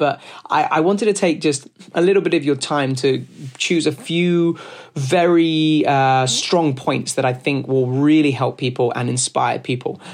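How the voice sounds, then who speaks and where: Speaking with a London accent, a man uses a fairly high pitch and ordinary pitch variation. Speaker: podcast host and business owner. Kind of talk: solo talk on business advice. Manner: fast talker, passionate; loud, animated.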